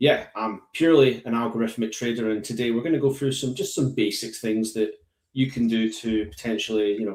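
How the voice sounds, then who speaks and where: A man speaks with a strong Scottish accent at a fairly quick pace. His pitch varies in an ordinary way. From Scotland. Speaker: algorithmic trader. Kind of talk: live tutorial. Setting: live online session.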